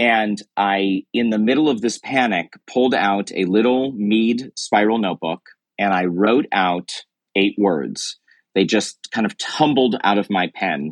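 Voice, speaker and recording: The recording is dry and close with no echo, capturing a man with a fairly low pitch who talks at a fairly slow pace with ordinary pitch variation and very even loudness. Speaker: author and founder of a courage movement. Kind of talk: interview. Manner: confident.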